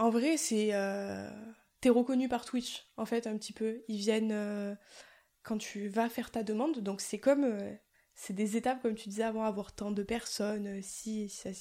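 A woman with a southern French accent, fairly high pitch and a dark, mellow tone, at a fairly slow pace. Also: fairly even intonation. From southern France. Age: 20s. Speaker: streamer. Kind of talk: casual chat.

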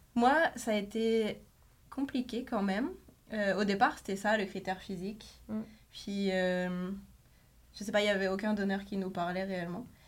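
Speaking at a fairly slow pace with long, frequent pauses, a woman keeps a medium pitch and fairly even intonation. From France. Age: 30s. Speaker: journalist. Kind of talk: casual chat.

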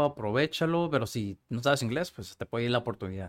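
Ordinary pitch variation in a man's speech at a very fast pace. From Mexico, Tijuana. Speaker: casting agency founder and film student. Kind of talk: casual interview conversation.

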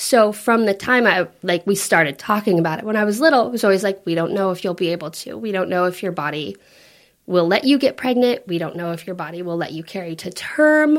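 Speaking at a medium pitch and a fairly quick pace, a woman uses lively intonation on a very clean recording with a silent background. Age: 30s. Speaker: mother sharing her birth story. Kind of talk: interview testimony. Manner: animated storytelling.

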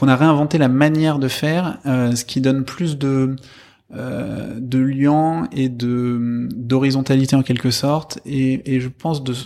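Speaking at a very slow pace, a man with a medium pitch has a dark, mellow tone. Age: 30s. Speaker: social entrepreneur. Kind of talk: interview. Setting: in person, speaking with masks on. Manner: halting, many fillers.

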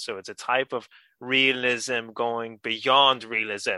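This man's voice sits at a medium pitch with a bright, sharp tone and a dry, close sound with no echo.

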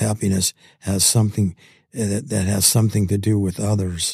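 The voice has a dark, mellow tone and is somewhat breathy. Its intonation stays monotone and flat. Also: man. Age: 80s. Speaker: guest, bereaved father and widower. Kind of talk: interview conversation. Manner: halting.

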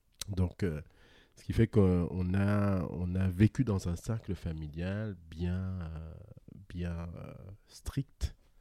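Very slowly, a man speaks at a very deep, low pitch with a dark, mellow tone and ordinary pitch variation. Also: big swings in loudness. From Guadeloupe. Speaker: podcast guest. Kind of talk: casual interview conversation. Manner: laughs often.

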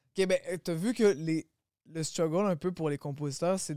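At a fairly slow pace, a man with a fairly high pitch and a dark, mellow tone shows ordinary pitch variation, in a very clean recording with a silent background and a dry, close sound with no echo. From Quebec, Longueuil. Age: 20s. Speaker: rapper. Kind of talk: casual chat.

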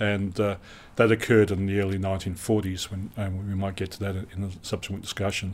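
A man with an Australian accent, fairly low in pitch and fairly quick in pace, on a very clean recording with a silent background. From Western Australia, Perth. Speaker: retired naval officer. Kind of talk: interview.

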